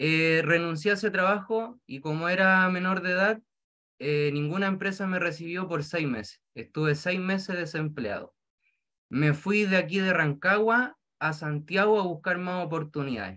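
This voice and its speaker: A man with a Chilean accent, high pitch, a bright, sharp tone and ordinary pitch variation, at a moderate pace against a quiet background. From rural Chile. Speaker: direct seller. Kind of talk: testimony. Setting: video call. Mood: grateful, upbeat. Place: home room. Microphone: video call.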